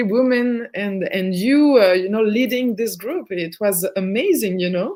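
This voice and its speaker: With ordinary pitch variation, a woman talks at a fairly slow pace. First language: French. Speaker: therapist. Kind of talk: casual chat. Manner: halting.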